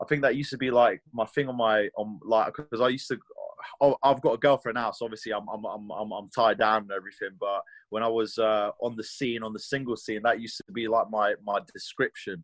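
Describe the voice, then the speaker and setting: With a strong British accent, a man speaks in fairly even intonation. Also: medium pitch for a man, fairly quick pace, big swings in loudness, dry, close sound with no echo. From England. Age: 20s. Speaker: mixed martial arts fighter. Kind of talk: interview. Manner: hesitant, many fillers and repetitions.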